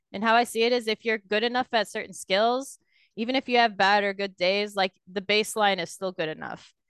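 In an ordinary speaking voice, a woman talks at a fairly quick pace and medium pitch with fairly even intonation, in a dry, close sound with no echo and a quiet background. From Canada. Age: 20s. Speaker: professional esports player. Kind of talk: casual interview.

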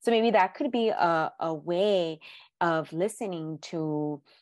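Nothing much can be heard in the background. An American accent marks the speech. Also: woman. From South Central Los Angeles. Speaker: therapist. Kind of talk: interview.

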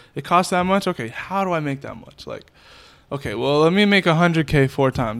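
On a very clean recording with a silent background, a man talks at a very fast pace. He has an American accent and ordinary pitch variation. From Worcester, Massachusetts. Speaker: music video director. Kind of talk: casual interview chat.

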